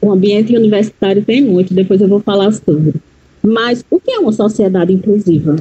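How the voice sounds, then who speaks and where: A woman speaks in a somewhat breathy voice. Her loudness stays very even. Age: 40s. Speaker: educator and psychology student. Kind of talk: interview.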